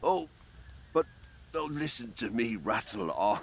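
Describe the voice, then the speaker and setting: A put-on character voice with very wide pitch swings. It moves at a moderate pace over clear background noise. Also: man, medium pitch for a man. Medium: video game. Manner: stammering, apologetic.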